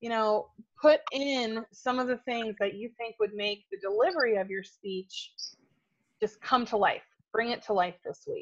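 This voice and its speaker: At a fairly slow pace, a woman speaks in a normal speaking voice, fairly high in pitch with ordinary pitch variation. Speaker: speaking coach. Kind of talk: workshop class.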